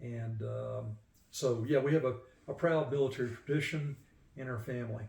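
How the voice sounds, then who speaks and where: This man has an ordinary speaking voice at a medium pitch. He speaks with an American accent. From southern USA. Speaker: retired Air Force sergeant and veteran. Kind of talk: casual interview answers recounting life and family history.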